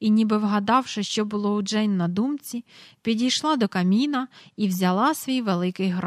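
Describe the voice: The delivery is plain reading aloud. Its pitch variation is ordinary.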